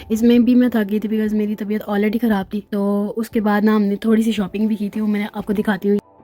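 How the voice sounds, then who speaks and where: With music in the background, a woman rushes along at a very fast pace with hardly any pauses, in a monotone, flat intonation. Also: fairly high pitch for a woman. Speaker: lifestyle vlogger. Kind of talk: vlog voice-over. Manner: casual, chatty.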